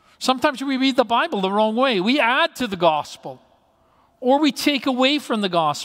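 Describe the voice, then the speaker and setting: The pitch swings very widely while the pace stays moderate. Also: woman, high pitch for a woman. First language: not English. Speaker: pastor. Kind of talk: sermon. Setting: church.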